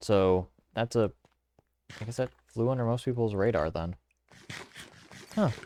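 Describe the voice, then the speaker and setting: With long, frequent pauses, a man talks in a dark, mellow tone at a medium pitch with ordinary pitch variation. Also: moderate pace. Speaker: gaming let's-play creator. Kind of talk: gameplay commentary. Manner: casual, halting with fillers. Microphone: recording sounds quieter than in person.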